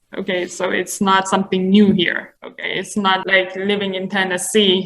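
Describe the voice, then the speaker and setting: At a fairly slow pace, a woman of medium pitch speaks with a slight non-native accent. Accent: slight foreign. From Iran. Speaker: immigrant interviewee. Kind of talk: interview.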